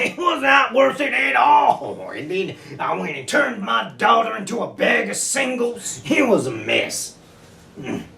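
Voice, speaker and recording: Doing a put-on character voice, a man speaks at a moderate pace in an extremely high pitch. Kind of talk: comic overacting. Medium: comedy sketch. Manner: brash, cocky, frequent laughing.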